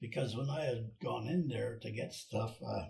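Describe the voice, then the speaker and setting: Speaking very slowly, a man with an Alaskan accent talks with vocal fry. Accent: Alaskan American English. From Cordova, Alaska. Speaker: boat builder, retired shipyard superintendent. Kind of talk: interview answer.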